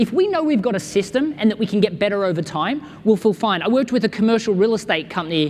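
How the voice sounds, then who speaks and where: A man with an Australian accent talks fairly quickly at a high pitch. His intonation is lively. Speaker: business consultant and speaker. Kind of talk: keynote talk answering audience question. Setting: stage with audience. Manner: animated.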